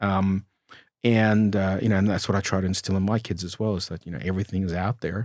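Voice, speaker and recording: On a very clean recording with a silent background and a dry, close sound with no echo, a man with a fairly low pitch talks very fast. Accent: Australian. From Australia (Melbourne), born in former USSR. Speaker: entrepreneur. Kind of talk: interview. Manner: hesitant, many fillers.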